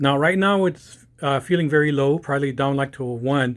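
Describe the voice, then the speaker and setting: The recording is very clean, with a silent background. A man with a fairly high pitch speaks at a moderate pace and fairly even intonation. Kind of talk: casual commentary to camera. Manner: hesitant, choppy.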